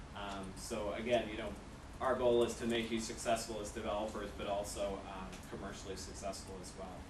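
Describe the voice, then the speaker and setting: A man with a fairly low pitch speaks at a fairly quick pace in a monotone, flat intonation, his loudness swinging widely. Audible room echo and noticeable background noise surround him. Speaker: tech company developer relations manager. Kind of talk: conference presentation. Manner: hesitant, many fillers.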